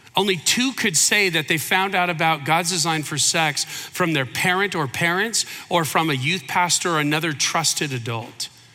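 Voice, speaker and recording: This man has an American accent and a high pitch, with hardly any pauses. Music plays in the background. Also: ordinary pitch variation, moderate pace. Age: 50s. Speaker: pastor. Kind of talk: sermon. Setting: church.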